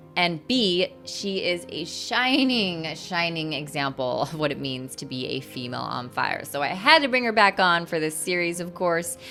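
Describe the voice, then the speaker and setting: Music plays behind a woman whose pitch swings very widely. She barely pauses at all. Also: moderate pace. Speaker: podcast host. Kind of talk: podcast intro.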